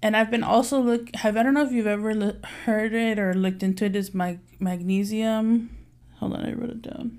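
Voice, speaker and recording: In an unremarkable speaking voice, a woman talks at a fairly quick pace with a fairly high pitch and fairly even intonation. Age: 30s. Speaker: customer service manager, podcast co-host. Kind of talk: casual chat.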